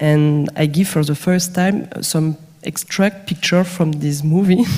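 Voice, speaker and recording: With a non-native accent, a woman speaks at a fairly slow pace and fairly low pitch, her intonation fairly even and her loudness very even. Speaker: film director. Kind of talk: panel discussion. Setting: stage with audience. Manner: halting, repeats words.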